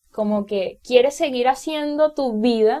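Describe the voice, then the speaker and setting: A woman speaks in a Venezuelan accent with a high pitch and a dark, mellow tone. Her pace is fairly slow and her pitch varies an ordinary amount. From Venezuela, Carabobo state. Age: 20s. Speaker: music teacher and singer-songwriter podcaster. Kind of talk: casual monologue. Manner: hesitant, many fillers.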